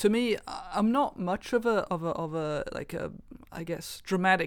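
In a Welsh accent, a woman speaks at a medium pitch on a very clean recording with a silent background. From Wales. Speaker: fingerstyle guitarist. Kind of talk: roundtable discussion. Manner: halting, many fillers.

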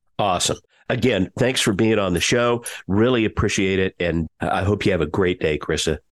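A man speaks in a normal speaking voice, fairly low in pitch, at a moderate pace with ordinary pitch variation and very even loudness. The sound is dry and close with no echo, over a quiet background. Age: 60s. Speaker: podcast host. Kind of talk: interview, business podcast.

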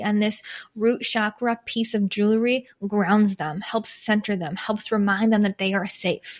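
A woman with an ordinary speaking voice and an American accent, fairly high in pitch, at a moderate pace with fairly even intonation, on a very clean recording with a silent background. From Michigan, US Midwest. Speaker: podcast host, small business coach. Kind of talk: solo podcast monologue.

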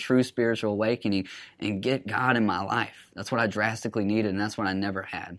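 A man with an Alabama accent, fairly low-pitched, talking very fast with fairly even intonation, on a very clean recording with a silent background. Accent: Southern US (Alabama). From US South, Alabama (Huntsville). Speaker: recovering addict sharing his story. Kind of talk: personal testimony.

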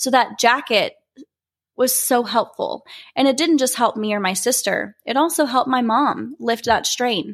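A woman speaks with an American accent at a high pitch. Her pitch varies in an ordinary way. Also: moderate pace. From Oklahoma (Norman). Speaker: beauty pageant titleholder. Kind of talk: personal story monologue.

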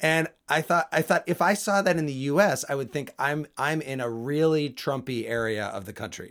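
On a very clean recording with a silent background, a man uses an ordinary speaking voice, fairly high in pitch, with lively intonation. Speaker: podcast host. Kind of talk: casual chat. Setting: studio.

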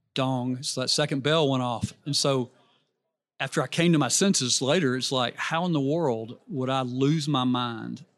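The speaker has a Southern US accent and a moderate pace. Intonation is fairly even over a quiet background. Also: man, medium pitch for a man. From Alabama, US South (Birmingham). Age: 60s. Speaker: businessman and youth coaching ministry leader. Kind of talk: casual interview chat. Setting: live at a conference booth.

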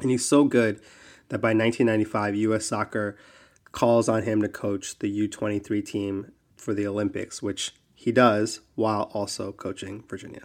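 A man with an American accent speaks at a moderate pace in a fairly low voice. His intonation is monotone and flat. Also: very clean recording, silent background. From New Jersey. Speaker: podcast co-host, soccer league expert. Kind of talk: casual chat.

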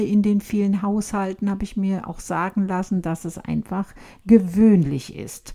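Dark, mellow tone from a woman, pitch varying in an ordinary way. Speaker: podcast host of a tea shop. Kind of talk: casual chat. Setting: laptop recording in a house, TV in background.

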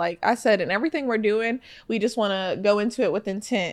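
Talking at a very fast pace in an animated tone, a woman with a fairly high pitch uses ordinary pitch variation in a very clean recording with a silent background. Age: 20s. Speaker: podcast co-host. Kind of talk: casual chat.

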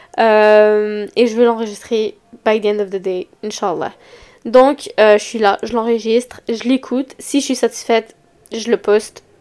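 A woman with a Quebec accent, fairly high in pitch, fairly even in intonation and fairly slow in pace. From Quebec, Montreal. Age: young. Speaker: podcast host. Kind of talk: casual solo podcast talk. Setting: home recording at computer mic. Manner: hesitant, many fillers.

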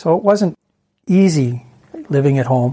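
With a Canadian accent, a man talks in a dark, mellow, somewhat breathy tone at a fairly high pitch with ordinary pitch variation. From Ontario, Canada. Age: 60s. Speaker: guest sharing family addiction story. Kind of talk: interview testimony.

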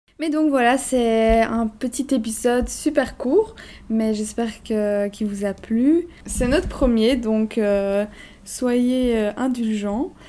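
With a dark, mellow tone and a fairly high pitch, a woman talks very slowly using ordinary pitch variation. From Belgium, Brussels. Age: 20s. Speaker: podcast co-host. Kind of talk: casual chat.

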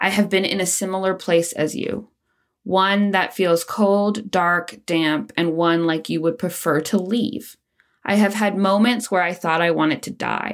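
Speaking at a fairly slow pace, a woman has a medium pitch with ordinary pitch variation. The recording is very clean with a silent background. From Canada, Nova Scotia (near Halifax). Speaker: mental health podcast host. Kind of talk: scripted personal monologue.

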